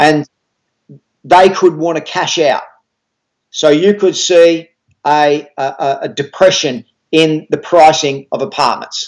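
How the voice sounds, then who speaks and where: Delivered at a very slow pace in an Australian accent, the speech has fairly even intonation and long, frequent pauses. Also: man, fairly high pitch for a man. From Australia (Melbourne). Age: 50s. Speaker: author and property investment educator. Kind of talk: interview.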